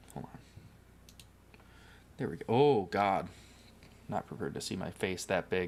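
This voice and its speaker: Soft-spoken and very deep in pitch, a man talks with lively intonation, big swings in loudness, and long, frequent pauses. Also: moderate pace. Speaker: livestreamer. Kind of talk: casual livestream chat while building. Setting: home livestream on camera.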